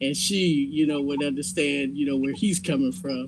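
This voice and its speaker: A man with lively intonation over noticeable background noise. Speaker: community participant. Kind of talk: group discussion.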